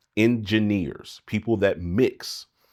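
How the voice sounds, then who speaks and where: A man with ordinary pitch variation on a very clean recording with a silent background. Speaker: music producer and mixing engineer YouTuber. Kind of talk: casual commentary monologue.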